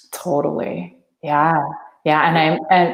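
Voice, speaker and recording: A woman speaks with a Thai accent. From Thailand. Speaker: energy healer. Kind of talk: interview. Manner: halting.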